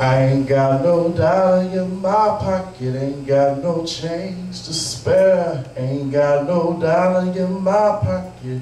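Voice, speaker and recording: A high-pitched man speaks with lively intonation as noticeable background noise plays behind him. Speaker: slam poet. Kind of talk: live slam poetry performance. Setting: live venue.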